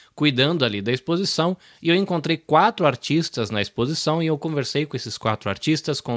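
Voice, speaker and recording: On a very clean recording with a silent background and a dry, close sound with no echo, a man speaks at a moderate pace in a normal speaking voice with lively intonation. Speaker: podcast host. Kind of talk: casual chat.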